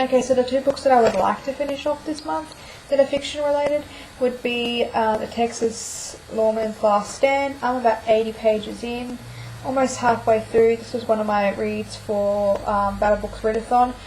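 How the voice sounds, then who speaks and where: A woman speaks at a fairly high pitch with fairly even intonation, and there is noticeable background noise. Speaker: book vlogger. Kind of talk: casual video monologue. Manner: fast.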